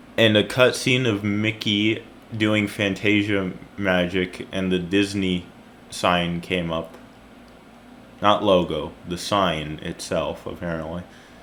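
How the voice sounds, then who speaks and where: Very slowly, a man with a fairly low voice gets his words out. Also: fairly even intonation. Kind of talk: creepypasta reading with commentary. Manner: casual, halting.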